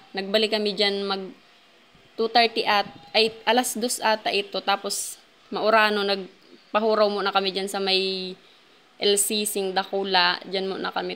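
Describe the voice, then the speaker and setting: At a moderate pace, a woman speaks in a bright, sharp tone with medium pitch and monotone, flat intonation. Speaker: vlogger. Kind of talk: vlog voice-over. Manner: halting, occasional stammering.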